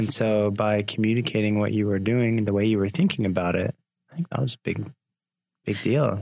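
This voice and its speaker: A man talks in a plain, everyday voice at fairly low pitch with ordinary pitch variation. His pace is fairly quick and his loudness very even. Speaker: podcast host. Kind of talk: interview conversation. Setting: studio.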